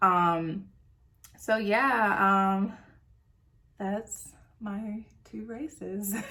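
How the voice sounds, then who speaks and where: Animated in tone, a woman with a Southern US accent speaks with ordinary pitch variation. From US South (North Carolina and Tennessee). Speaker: beauty vlogger. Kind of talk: casual chat.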